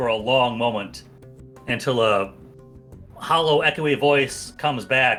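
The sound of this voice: This unforced reading voice carries ordinary pitch variation.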